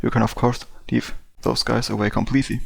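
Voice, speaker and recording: Talking at a fairly quick pace, a man with vocal fry keeps a medium pitch and fairly even intonation. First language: not English. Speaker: game development tutorial youtuber. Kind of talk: casual explainer talk to camera. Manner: halting, frequent fillers.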